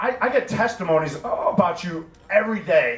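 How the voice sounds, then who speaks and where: A man speaks over noticeable background noise. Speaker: army veteran. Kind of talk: casual talk to an audience. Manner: halting, many repetitions.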